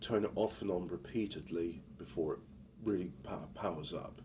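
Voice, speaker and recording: This man talks at a moderate pace with vocal fry in his voice. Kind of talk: casual talk to camera. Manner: hesitant, rambling.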